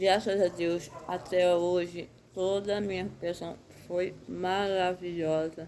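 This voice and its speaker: A woman is speaking. Her pace is very slow. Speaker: Bible reading channel host. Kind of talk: Bible commentary and personal update. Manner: halting.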